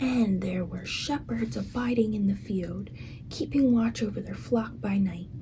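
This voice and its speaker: A soft-spoken whisper delivered at a fairly slow pace. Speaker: ASMR creator. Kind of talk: reading aloud. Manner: whispering.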